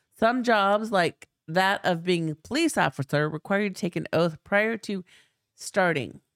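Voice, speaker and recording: With music in the background, a woman talks fairly slowly at medium pitch and with lively intonation, in a dry, close sound with no echo. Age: 50s. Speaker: podcast co-host. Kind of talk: casual chat.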